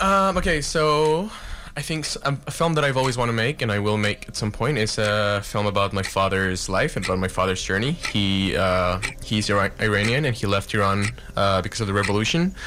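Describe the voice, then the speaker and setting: Over noticeable background noise, a man talks fairly quickly in a fairly low voice. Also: lively intonation. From Mexico City. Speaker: cinematographer. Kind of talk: casual interview. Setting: radio studio.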